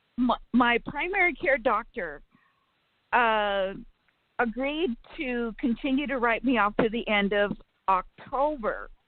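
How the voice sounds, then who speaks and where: Lively in intonation and high in pitch, a woman speaks at a fairly slow pace with long, frequent pauses. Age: 60s. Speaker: caller. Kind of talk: phone-in question.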